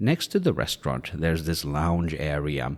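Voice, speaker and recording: A man with a Swedish accent speaks at a moderate pace in a very deep, low voice, on a very clean recording with a silent background. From Sweden. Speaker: travel vlogger. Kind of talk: scripted narration.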